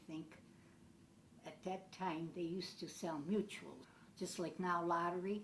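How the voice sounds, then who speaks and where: The room echo is audible as a woman speaks. Her pitch sits fairly low, and her pace is fairly slow. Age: 70s. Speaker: elderly woman telling her life story. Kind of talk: personal reminiscence.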